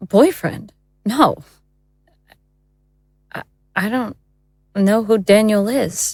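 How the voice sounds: A woman's put-on character voice at medium pitch, with ordinary pitch variation, a very slow pace, a slightly mellow tone and a slightly husky edge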